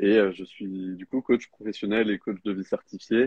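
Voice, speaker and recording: A man speaks at a fairly slow pace. His voice sits fairly low in pitch. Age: 20s. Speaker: life coach. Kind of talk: live interview. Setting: livestream. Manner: halting, many fillers.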